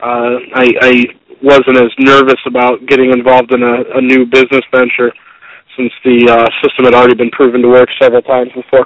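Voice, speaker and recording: In a monotone, flat intonation, a man talks at a fairly quick pace and medium pitch. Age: 20s. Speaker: franchise owner. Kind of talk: interview. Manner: halting, many fillers.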